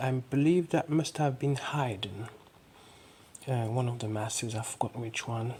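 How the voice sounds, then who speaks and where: A soft-spoken woman's very deep, low, somewhat breathy voice in a relaxed tone, at a fairly slow pace with ordinary pitch variation. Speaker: fashion illustrator. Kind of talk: casual talk to camera. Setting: close-mic ASMR style recording. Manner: soft-spoken, slow, relaxed.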